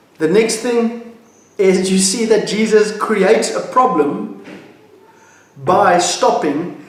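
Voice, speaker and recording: A high-pitched man's voice at a very slow pace, with long, frequent pauses and ordinary pitch variation, amid noticeable background noise and audible room echo. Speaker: pastor. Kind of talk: devotional talk.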